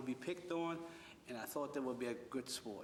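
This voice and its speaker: At a moderate pace and a fairly high pitch, a man speaks with fairly even intonation amid noticeable background noise. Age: 60s. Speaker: wrestling coach and youth center director. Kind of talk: interview.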